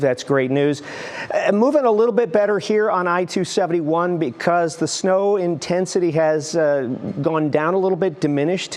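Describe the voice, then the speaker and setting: Against noticeable background noise, a man talks at a moderate pace in a high voice with ordinary pitch variation. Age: 60s. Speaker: TV meteorologist. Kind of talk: TV weather forecast. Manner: animated.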